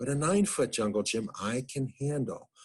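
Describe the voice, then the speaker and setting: Against a quiet background, a man with an American accent speaks with very wide pitch swings. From United States. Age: 60s. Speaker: psychologist and family physician. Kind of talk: lecture.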